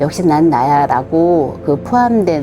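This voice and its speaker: Music plays in the background as a woman speaks. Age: 60s. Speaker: community member. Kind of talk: interview answer.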